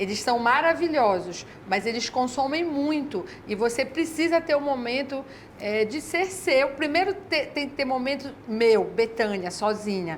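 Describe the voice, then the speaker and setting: Over noticeable background noise, a woman with a high pitch speaks at a fairly slow pace with lively intonation. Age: 60s. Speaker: educator and mother of six. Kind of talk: TV interview.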